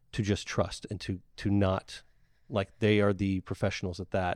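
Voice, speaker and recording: This speaker has a Southern US accent and talks at a fairly quick pace in a monotone, flat intonation. The recording is dry and close with no echo, and the background is quiet. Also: man. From Mississippi Gulf Coast, Ocean Springs. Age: 30s. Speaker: marketing agency owner. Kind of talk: casual chat.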